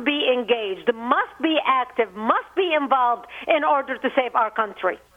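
A high-pitched woman talks at a moderate speed with very wide pitch swings, and background noise is noticeable. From Lebanon. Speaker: activist, organization founder. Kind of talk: interview. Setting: phone call.

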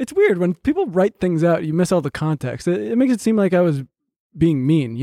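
Speaking at a fairly quick pace, a man has a high pitch with a dark, mellow tone. His pitch swings very widely, in a dry, close sound with no echo. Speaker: podcast co-host.

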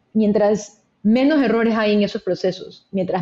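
A woman's medium-pitched, somewhat breathy voice with a dark, mellow tone, ordinary pitch variation and a moderate pace. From Ecuador, Guayaquil. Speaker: venture capital investor. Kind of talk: interview.

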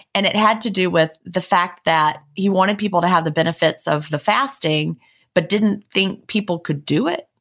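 On a very clean recording with a silent background, a woman talks at medium pitch with ordinary pitch variation. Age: 40s. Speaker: podcast co-host and author. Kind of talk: casual chat. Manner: fast.

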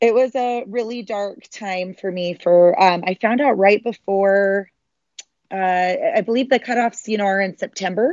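Here a woman talks with a Utah accent. Her pace is fairly slow. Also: medium pitch for a woman, ordinary pitch variation. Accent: American (Utah). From Utah, Salt Lake City area. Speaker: marathon runner and triathlete. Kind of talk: interview.

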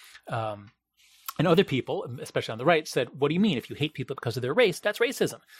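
A man with an American accent talks at a very fast pace in a fairly high, somewhat breathy voice. His pitch swings very widely, and the sound is dry and close with no echo. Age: 50s. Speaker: professor and author. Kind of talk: interview conversation. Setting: in person at a university.

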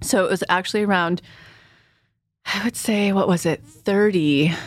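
In a very clean recording with a silent background, a woman with an American accent talks at a moderate pace in an unremarkable speaking voice, her pitch varying in an ordinary way. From California Central Valley. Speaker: manifestation coach. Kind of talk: casual interview chat.

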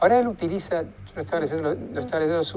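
Very wide pitch swings in a male voice, music playing behind it. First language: English (speaking Spanish). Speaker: forensic psychiatrist. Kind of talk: casual chat.

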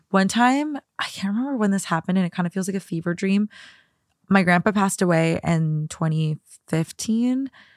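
A woman with an unremarkable speaking voice and lively intonation, in a dry, close sound with no echo. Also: medium pitch for a woman, moderate pace. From US Midwest, Minnesota. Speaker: podcast guest co-host. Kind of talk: casual chat.

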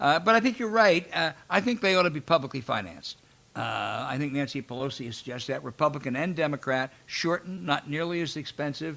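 A man speaks very fast with lively intonation, vocal fry, and a fairly high pitch for a man. His tone is bright and sharp, and the recording is very clean with a silent background. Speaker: podcast host. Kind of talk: interview.

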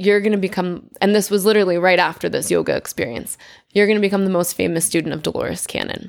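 In a very clean recording with a silent background, a woman with an American accent uses a normal speaking voice at a medium pitch and with fairly even intonation. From Connecticut. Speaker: wellness coach and yoga founder. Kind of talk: interview. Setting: on location at a sports event.

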